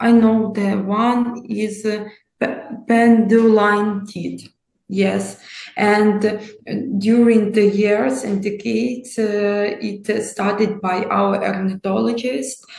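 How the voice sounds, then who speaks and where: A somewhat breathy woman with a Ukrainian accent, very slow, with fairly even intonation and audible room echo. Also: medium pitch for a woman. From Ukraine. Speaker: nature conservationist. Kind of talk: interview. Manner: halting, many hesitations.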